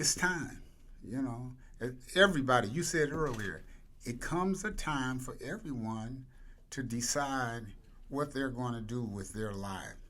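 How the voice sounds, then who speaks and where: A man of medium pitch speaks with a bright, sharp tone and lively intonation. He goes at a fairly slow pace with long, frequent pauses, amid audible room echo. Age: 80s+. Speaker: nonprofit founder and CEO. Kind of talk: interview.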